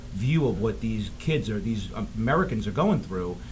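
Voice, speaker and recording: Amid noticeable background noise and audible room echo, a man with a Boston accent speaks at a fairly quick pace, his fairly low voice carrying lively intonation. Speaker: filmmaker. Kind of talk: interview. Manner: halting.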